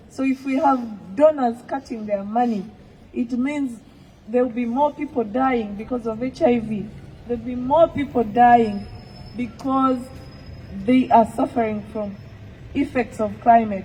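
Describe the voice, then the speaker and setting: A woman talks at a fairly slow pace with fairly even intonation and a fairly high pitch. Noticeable background noise sits behind her. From Uganda. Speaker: activist. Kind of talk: public speech.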